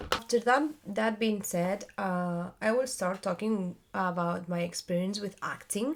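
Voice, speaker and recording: With a non-native accent, a woman speaks at a very slow pace and a medium pitch with ordinary pitch variation, on a very clean recording with a silent background. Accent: non-native English accent, self-described. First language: Spanish. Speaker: theater actress and vlogger. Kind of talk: casual vlog monologue. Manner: halting, many fillers and searching for words.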